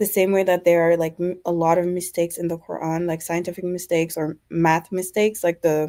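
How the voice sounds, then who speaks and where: A woman with a non-native accent talks fairly quickly in a fairly low, dark, mellow voice. Her intonation is monotone and flat, with hardly any pauses. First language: not English. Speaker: caller. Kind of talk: testimony. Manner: hesitant, many fillers.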